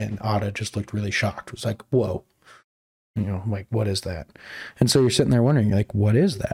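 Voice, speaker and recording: Speaking at a very fast pace, a man uses a fairly low, somewhat breathy voice with ordinary pitch variation. Long, frequent pauses break up his speech, and the sound is dry and close with no echo. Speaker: movie review podcaster. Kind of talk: casual chat. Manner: halting, many fillers.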